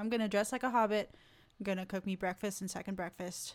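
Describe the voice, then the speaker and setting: On a very clean recording with a silent background, a woman in a normal speaking voice talks at medium pitch with fairly even intonation. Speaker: podcast co-host. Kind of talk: casual chat.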